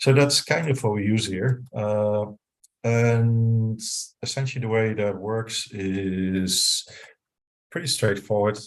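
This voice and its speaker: With a Dutch accent, a man speaks at a very slow pace over a quiet background. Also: medium pitch for a man, ordinary pitch variation. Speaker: software engineer, CTO. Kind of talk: technical talk with live demo. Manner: hesitant, many fillers.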